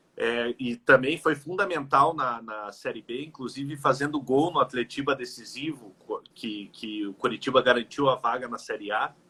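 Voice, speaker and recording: A man's normal speaking voice at medium pitch and moderate pace, with hardly any pauses, ordinary pitch variation and big swings in loudness. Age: 30s. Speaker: football fan. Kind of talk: casual interview chat. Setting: Instagram live video call.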